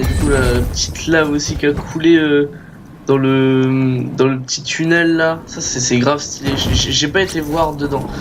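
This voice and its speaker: Over noticeable background noise and audible room echo, a man talks at a moderate pace in a monotone, flat intonation with a fairly high pitch. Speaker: gaming youtuber. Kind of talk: gameplay commentary. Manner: halting, many repetitions.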